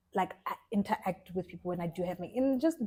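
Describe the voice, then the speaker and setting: A woman speaks very fast in a somewhat breathy voice. Her tone is dark and mellow and her intonation fairly even. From South Africa, Free State (Bloemfontein). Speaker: fashion designer and stylist. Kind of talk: casual interview chat.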